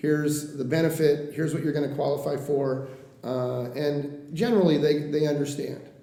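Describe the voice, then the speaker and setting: With an American accent and a fairly high pitch, a man speaks with fairly even intonation amid noticeable background noise and audible room echo. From Oregon coast (Coos Bay). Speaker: mortgage lender. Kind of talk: interview. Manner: fast.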